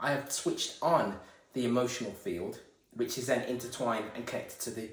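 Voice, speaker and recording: A man speaks at a fairly quick pace in a medium pitch, with ordinary pitch variation, a somewhat breathy voice and audible room echo. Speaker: esoteric video creator. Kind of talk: spiritual monologue. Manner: stuttering, halting.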